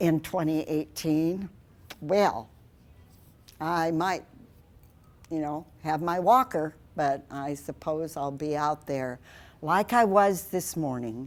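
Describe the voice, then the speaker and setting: With a Midwestern US accent, a woman talks at a very slow pace with long, frequent pauses. Her pitch is very deep and low, with ordinary variation. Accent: US Midwest. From Iowa, Okoboji area. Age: 80s+. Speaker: wildlife rehabilitator. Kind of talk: public talk. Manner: animated.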